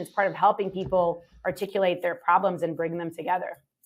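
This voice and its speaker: Here a woman speaks at a very fast pace. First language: not English. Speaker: startup CEO. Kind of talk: interview conversation. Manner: casual, many fillers.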